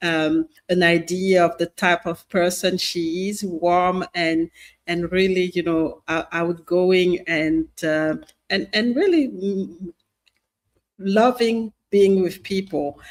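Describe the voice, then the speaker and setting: Speaking in a French accent, a woman keeps her intonation fairly even. Her pace is very slow. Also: medium pitch for a woman. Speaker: podcast host. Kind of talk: show introduction. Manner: halting, many fillers and repetitions.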